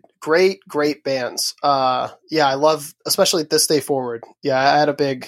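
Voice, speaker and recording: In an ordinary speaking voice, a man with a fairly high pitch talks at a moderate pace with fairly even intonation, the sound dry and close with no echo on a very clean recording with a silent background. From southern Maryland, US. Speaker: musician. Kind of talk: casual interview chat. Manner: relaxed, laughs often.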